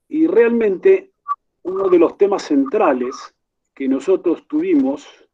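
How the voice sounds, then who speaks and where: A man with an Argentine accent at a fairly slow pace. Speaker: university rector, conference moderator. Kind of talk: conference Q&A question. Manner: formal.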